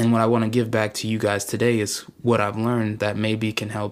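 His intonation stays monotone and flat. The speaker is a man at medium pitch. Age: 20s. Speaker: podcast host. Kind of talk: motivational monologue. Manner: casual.

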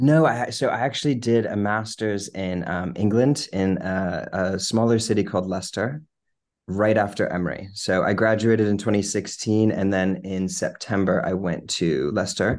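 A man with a fairly low voice talks at a moderate pace, with ordinary pitch variation. The background stays quiet. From Virginia, Lynchburg. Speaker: cancer researcher. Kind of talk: interview.

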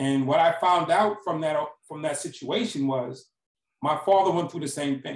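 A man with an American accent has a plain, everyday voice at a fairly high pitch. He talks at a moderate pace with ordinary pitch variation. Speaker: former prisoner turned speaker. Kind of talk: interview.

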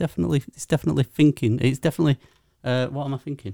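Heard dry and close with no echo in a very clean, silent recording, a man's fairly high voice has a dark, mellow tone and lively intonation. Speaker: podcast co-host. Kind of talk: casual chat.

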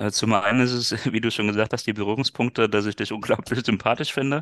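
A man talks at a very fast pace with fairly even intonation, in a dry, close sound with no echo. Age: 30s. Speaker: business coach and former sales manager. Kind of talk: interview.

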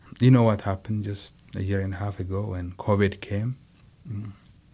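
A man speaks in a somewhat breathy voice with a dark, mellow tone. His pace is moderate and his intonation monotone and flat. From Ethiopia (Nazareth/Adama). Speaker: pastor and mission executive. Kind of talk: interview storytelling. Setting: studio. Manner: halting.

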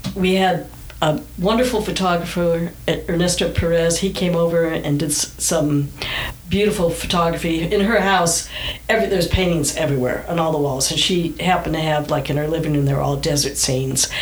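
Speaking with an American accent, a woman talks at a moderate pace and a fairly low pitch, her loudness very even. Noticeable background noise and audible room echo fill the recording. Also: ordinary pitch variation. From Southern California. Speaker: artist's daughter running an art business. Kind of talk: interview.

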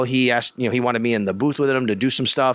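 With a Western New York accent, a man speaks at a medium pitch in a bright, sharp tone. The sound is dry and close, with no echo. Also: very clean recording, silent background. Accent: Western New York (Inland North). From Buffalo, Western New York. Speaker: sports radio reporter. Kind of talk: interview. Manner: animated.

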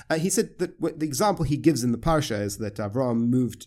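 A man's medium-pitched voice with lively intonation on a very clean recording over a silent background. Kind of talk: interview conversation. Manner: quiet, soft-spoken teaching style; halting, self-interrupting.

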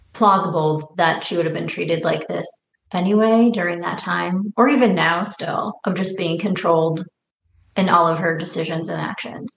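A woman speaks in a fairly low pitch at a moderate pace, with ordinary pitch variation. It is a plain, everyday voice. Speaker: podcast co-host discussing a film. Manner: casual, conversational, frequent filler words.

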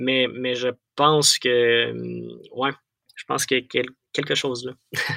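A man with a Quebec accent, a bright, sharp tone at medium pitch, monotone, flat intonation, a fairly slow pace with long, frequent pauses, and a dry, close sound with no echo. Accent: Québécois French. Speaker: Bible audiobook narrator. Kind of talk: interview. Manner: halting.

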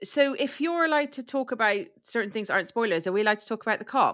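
A woman with an English accent talks at a fairly quick pace, her pitch swinging very widely. The recording is very clean, with a silent background. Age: 40s. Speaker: true crime podcaster. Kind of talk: casual chat. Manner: halting.

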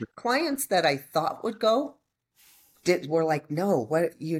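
A woman speaks with a fairly low voice that swings very widely in pitch. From Colorado. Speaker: real estate agent. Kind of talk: interview.

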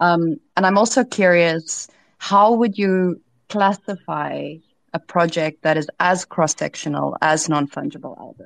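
With a plain, everyday voice, a woman speaks at a fairly slow pace and fairly low pitch, her loudness swinging a lot, recorded dry and close with no echo over a quiet background. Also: ordinary pitch variation. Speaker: podcast host and startup CEO. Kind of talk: interview podcast.

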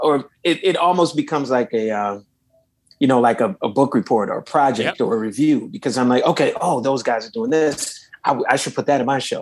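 Using an unremarkable speaking voice, a man with an American accent talks at a fairly quick pace, his fairly high pitch carried by lively intonation. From Los Angeles, US. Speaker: saxophonist and singer. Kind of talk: interview.

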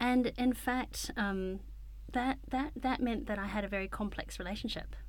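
A woman speaks with a New Zealand accent at a moderate pace. Audible room echo is present. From New Zealand, Wellington. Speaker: paediatrician. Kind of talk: interview conversation. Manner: calm; clear and concise.

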